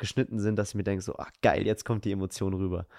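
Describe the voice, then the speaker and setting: A man with a dark, mellow tone is heard in a very clean recording with a silent background, the sound dry and close with no echo. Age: 20s. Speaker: podcast host. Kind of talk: casual chat.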